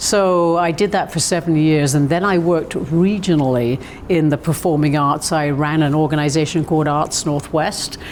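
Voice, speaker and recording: A woman's very deep, low voice in a British accent, with very even loudness and hardly any pauses, amid noticeable background noise. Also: fairly even intonation, moderate pace. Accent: British, often taken for Australian. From southern England. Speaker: arts administrator. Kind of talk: interview. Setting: visitor center, over tea.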